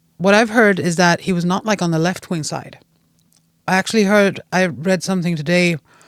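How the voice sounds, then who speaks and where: A woman with a Swedish accent talks at a fairly quick pace with fairly even intonation, on a very clean recording with a silent background. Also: fairly low pitch for a woman. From Sweden, Gävle area. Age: 40s. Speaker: podcast guest. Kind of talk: casual chat. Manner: halting.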